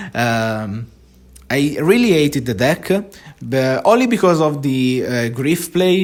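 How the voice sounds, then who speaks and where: On a very clean recording with a silent background, a man with a non-native accent speaks at a fairly slow pace with lively intonation. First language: not English. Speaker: gaming content creator. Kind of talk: casual monologue vlog. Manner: halting, many fillers and restarts.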